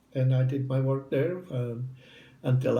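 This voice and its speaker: A man is speaking here, his tone dark and mellow. There is a somewhat breathy quality to it. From southern Italy. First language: Italian. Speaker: retired English professor. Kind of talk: interview answer.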